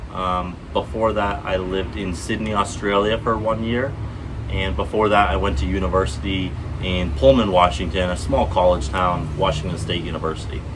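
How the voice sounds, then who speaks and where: A man with an American accent and a very deep, low pitch speaks at a moderate pace with lively intonation, amid audible room echo and noticeable background noise. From US Northeast, Vermont. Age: 20s. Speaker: vlogger. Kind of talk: casual vlog monologue. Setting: outdoors, garden setting. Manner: halting, many fillers. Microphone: unsure if earbuds are connected, may sound quiet.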